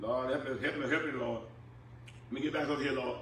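Room echo can be heard around the man's voice. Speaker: preacher. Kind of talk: sermon. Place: church.

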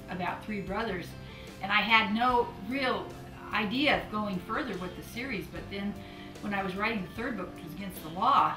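Over clear background music, a woman talks at a moderate pace with ordinary pitch variation. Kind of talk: interview answer. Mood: warm, enthusiastic. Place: home room.

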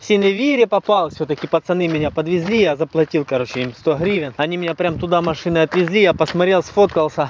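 A man's high-pitched voice at a very fast pace, hardly any pauses, ordinary pitch variation, dry sound with no echo and light background noise. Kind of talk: casual vlog chat. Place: street. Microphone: phone near.

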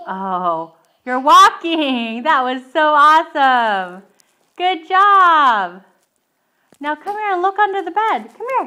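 In a raised, projected voice with a bright, sharp tone, the speaker talks at a very slow pace with very wide pitch swings against a quiet background. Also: woman. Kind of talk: coaxing baby talk. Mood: playful, encouraging. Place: home room. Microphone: phone near.

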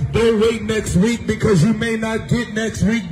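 A man speaks loudly at an extremely high pitch and a fairly slow pace, with light background noise behind him. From American. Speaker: street preacher. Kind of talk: street preaching sermon. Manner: loud, forceful, exhortative. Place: street.

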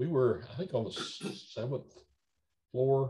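A somewhat breathy man with an American accent, a dark, mellow tone, and very wide pitch swings, against a quiet background. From Nashville, Tennessee; Tennessee. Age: 70s. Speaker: entertainment lawyer. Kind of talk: oral history interview. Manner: halting, many fillers and repetitions. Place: home room. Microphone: video call.

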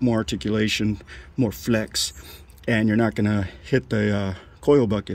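A man talks at a moderate pace with ordinary pitch variation in a dry sound with no echo. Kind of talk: casual vlog chat. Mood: pleased, enthusiastic. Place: street. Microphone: phone near.

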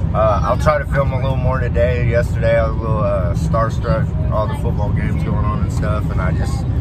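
Loud background noise surrounds a man talking at a fairly quick pace with hardly any pauses. The sound itself is dry, with no echo. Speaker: parent vlogger. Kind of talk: casual vlog chat. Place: car. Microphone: phone near.

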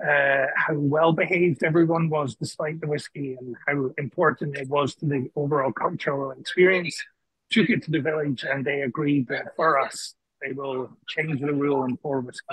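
This man's intonation stays fairly even, recorded as a dry sound with no echo against a quiet background. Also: moderate pace. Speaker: senior living executive. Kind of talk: announcements. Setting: video call. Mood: upbeat, excited. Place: home room. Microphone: video call.

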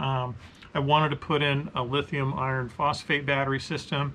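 Against light background noise, a man speaks at a moderate pace with fairly even intonation. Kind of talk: casual vlog chat. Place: workshop.

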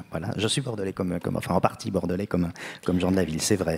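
With fairly even intonation, a man speaks at a very deep, low pitch over a quiet background. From France, Bordeaux; France. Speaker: writer; guest. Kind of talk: literary panel discussion. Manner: halting, many hesitations. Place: stage. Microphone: handheld.

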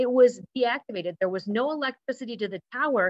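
A woman speaks at a moderate pace, her pitch varying in an ordinary way, with a quiet background. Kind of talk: lecture. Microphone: webcam.

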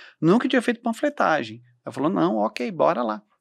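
Speaking at a fairly quick pace with vocal fry and very wide pitch swings, a man is recorded with a dry sound, no echo, and a quiet background. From Santa Catarina, southern Brazil. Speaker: events entrepreneur and mentor; podcast co-guest or host. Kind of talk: podcast interview. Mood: warm, animated, faith-inspired. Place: studio. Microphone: studio mic.

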